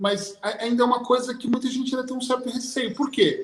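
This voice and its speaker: A man with a high-pitched voice. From Brazil. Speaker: hypnotherapist. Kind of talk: panel discussion closing remarks.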